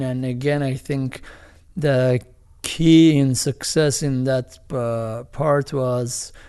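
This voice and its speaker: A man talks with a dark, mellow tone. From Iran. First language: Armenian or Farsi. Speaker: film director and producer. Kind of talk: interview. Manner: halting, many fillers.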